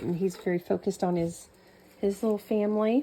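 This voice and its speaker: A woman speaks with an American accent and ordinary pitch variation over noticeable background noise. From New Mexico. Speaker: home cooking vlogger. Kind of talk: cooking tutorial with casual chat. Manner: casual, chatty.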